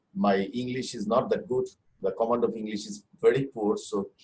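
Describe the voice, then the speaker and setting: A man with a Bengali accent speaks in a somewhat breathy voice. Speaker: musician. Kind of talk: panel discussion. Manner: halting.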